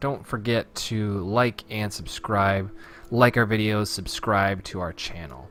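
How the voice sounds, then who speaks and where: A normal speaking voice from a man, fairly low in pitch, at a fairly slow pace. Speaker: video game let's play host. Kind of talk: gameplay commentary.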